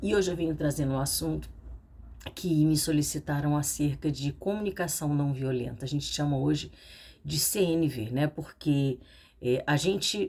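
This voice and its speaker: A soft-spoken woman with a very deep, low pitch, a dark, mellow tone, and ordinary pitch variation. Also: moderate pace. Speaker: psychoanalyst and therapist. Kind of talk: casual educational talk to camera. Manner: speaking softly.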